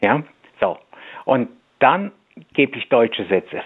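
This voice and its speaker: Lively intonation marks this man's medium-pitched voice. He speaks at a fairly slow pace. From Poland (Masuria), moved to Germany at ten. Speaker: language coach. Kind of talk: radio interview. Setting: radio studio.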